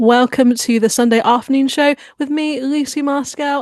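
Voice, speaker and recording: A woman with a high pitch talks at a moderate pace. The sound is dry and close, with no echo. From England (Bath), born in Hong Kong. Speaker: radio host. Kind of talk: radio interview.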